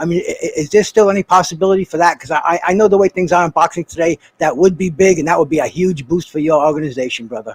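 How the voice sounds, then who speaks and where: In a dry, close sound with no echo, a man with a high-pitched voice rushes along at a very fast pace with hardly any pauses and ordinary pitch variation. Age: 60s. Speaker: boxing panelist. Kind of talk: casual interview. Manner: halting, repeats words.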